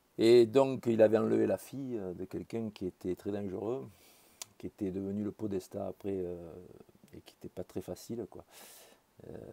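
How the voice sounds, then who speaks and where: A man with a fairly low pitch and a dark, mellow tone speaks at a fairly slow pace with ordinary pitch variation. His loudness swings widely, and he takes long, frequent pauses. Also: dry, close sound with no echo. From France, Marseille. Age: 60s. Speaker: political commentator. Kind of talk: personal monologue. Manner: halting, many hesitations.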